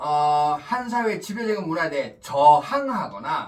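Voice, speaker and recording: Pitched high, a man talks at a very slow pace with very wide pitch swings. Room echo can be heard. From Busan, South Korea (moved from Seoul at age 8). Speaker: teacher. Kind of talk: lecture. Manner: casual, conversational.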